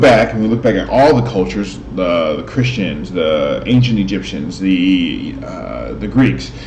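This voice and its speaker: The voice moves through very wide pitch swings at a fairly slow pace, with noticeable background noise present. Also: man. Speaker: host of spiritual talk videos. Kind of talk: casual talk to camera. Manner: hesitant, stuttering at times.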